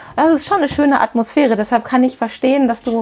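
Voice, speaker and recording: This is a woman. She has an ordinary speaking voice. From Witten, Ruhr area, Germany. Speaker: podcast host, business coach. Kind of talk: interview. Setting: on location in a hat shop.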